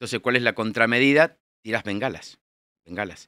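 Speaking in a bright, sharp tone with ordinary pitch variation, a man is heard in a dry recording with no echo and a quiet background. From Buenos Aires, Argentina; Argentina. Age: 60s. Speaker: air force general; guest. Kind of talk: interview. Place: studio. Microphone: studio mic.

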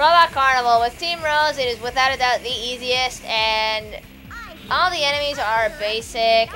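Music plays in the background. Over it, a woman speaks at a fairly high pitch. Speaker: let's player. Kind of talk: casual gameplay commentary.

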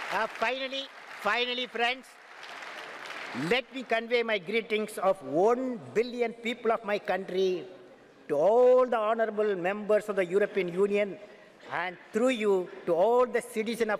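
With a Tamil Indian accent, a man talks at a high pitch with ordinary pitch variation. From Tamil Nadu, India. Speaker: aerospace scientist, former head of state. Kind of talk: formal speech to a parliament. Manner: slow, repetitive, poetic. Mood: earnest, uplifting. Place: hall. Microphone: podium.

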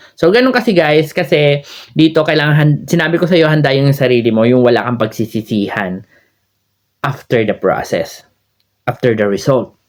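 The speaker has lively intonation and very even loudness at a moderate pace. The background is quiet. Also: man, fairly high pitch for a man. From Philippines. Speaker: YouTuber and overseas Filipino worker; vlogger sharing visa advice. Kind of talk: vlog advice talk. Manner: casual with frequent fillers. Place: home room. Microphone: phone near.

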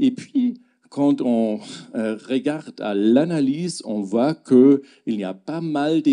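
Against a quiet background, a man with a German accent speaks very slowly at a fairly high pitch in a dark, mellow tone, his pitch swinging very widely. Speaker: gastroenterologist. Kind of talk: lecture. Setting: stage with audience. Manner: halting. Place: hall. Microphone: handheld.

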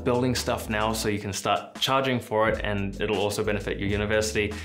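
A man speaks at a very fast pace with fairly low pitch and ordinary pitch variation. Clear music plays in the background. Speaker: software developer youtuber. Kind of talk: casual advice vlog. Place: home room.

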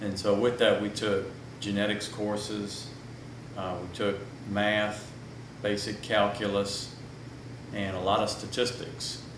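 In a Louisiana accent, a man with a fairly low pitch speaks at a fairly slow pace in a flat monotone with long, frequent pauses, amid audible room echo and noticeable background noise. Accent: Louisiana Southern US. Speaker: plant breeder. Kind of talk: casual chat. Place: meeting room.

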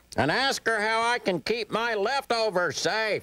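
A man puts on a whiny character voice, pitched high for a man, at a moderate pace. The recording is very clean with a silent background. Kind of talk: children's puppet show comedy. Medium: puppet show. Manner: selfish, whiny, comic.

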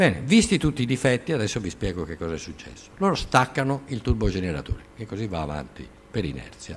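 With vocal fry and a fairly low pitch, a man talks at a very fast pace, his voice making very wide pitch swings and big swings in loudness over light background noise. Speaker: lecturer on nuclear engineering. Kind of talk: lecture. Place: classroom.

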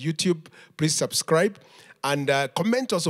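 The setting is quiet. A man talks at a moderate speed. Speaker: pastor leading service. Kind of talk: church welcome and announcements. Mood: warm, upbeat. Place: church. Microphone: handheld.

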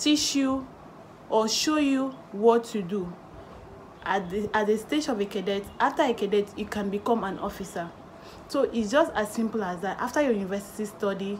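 Over light background noise, the woman keeps a moderate pace and her pitch varies in an ordinary way. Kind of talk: tutorial. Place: home room. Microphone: phone near.

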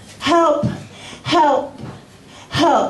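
Room echo is audible in this clip. The voice belongs to a woman. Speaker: spoken word performer. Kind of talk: poetry reading. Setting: live open mic in a bar. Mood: soft, somber, reflective. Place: bar.

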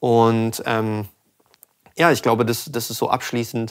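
The man's pitch is medium. He keeps a moderate pace against a quiet background. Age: 20s. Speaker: sound engineer and channel host; channel host. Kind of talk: casual chat. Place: studio. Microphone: studio mic.

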